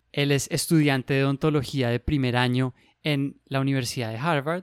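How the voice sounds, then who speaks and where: A man with a normal speaking voice talks at a moderate pace and ordinary pitch variation, in a dry, close sound with no echo and a very clean recording against a silent background. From Colombia. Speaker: medical resident and podcast host. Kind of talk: casual interview chat.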